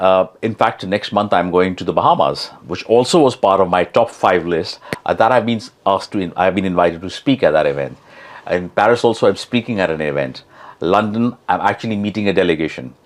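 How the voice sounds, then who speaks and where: Noticeable background noise sits behind a man who speaks fairly quickly with lively intonation. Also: fairly low pitch for a man. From India, Mumbai. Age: 60s. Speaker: blockchain expert and public speaker. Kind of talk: podcast interview.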